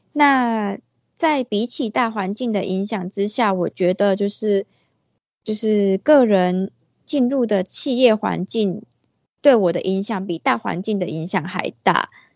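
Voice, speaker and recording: The voice moves at a very slow pace with ordinary pitch variation, the sound dry and close with no echo. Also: woman, medium pitch for a woman. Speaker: freelance illustrator. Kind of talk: casual interview. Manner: hesitant, many fillers.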